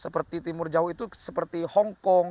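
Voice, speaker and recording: At a moderate pace, a man with a high pitch talks in a dry, close sound with no echo. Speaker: history explainer video host. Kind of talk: informal educational talk. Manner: hesitant with fillers.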